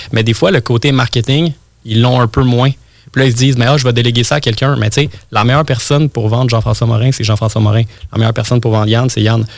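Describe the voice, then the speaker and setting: The speaker talks very fast with fairly even intonation. Loudness stays very even, and the voice is somewhat breathy. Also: man, medium pitch for a man. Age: 20s. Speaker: web marketing entrepreneur. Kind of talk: interview. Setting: studio.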